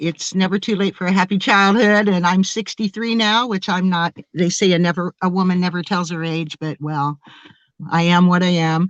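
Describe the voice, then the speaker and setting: A woman talks in a normal speaking voice at medium pitch with an American accent, her intonation fairly even. The pace is moderate, and the sound is dry and close with no echo. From US Midwest, Springfield, Ohio. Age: 60s. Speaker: experiencer sharing encounter story. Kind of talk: interview.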